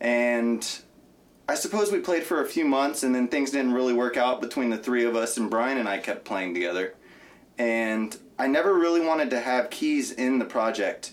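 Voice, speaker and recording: A man's medium-pitched voice at a moderate pace, with very even loudness and lively intonation. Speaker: guitarist in a rock band. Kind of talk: casual chat. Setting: studio.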